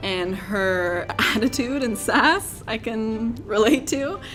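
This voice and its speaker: Over background music, a woman talks in an upbeat tone with a fairly high pitch. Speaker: voice actor. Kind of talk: interview answer.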